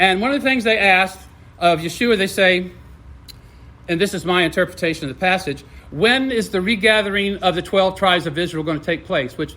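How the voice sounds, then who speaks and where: A man's high-pitched voice, bright and sharp in tone, with lively intonation at a fairly quick pace. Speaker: religious speaker. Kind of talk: talk to teens. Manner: fast.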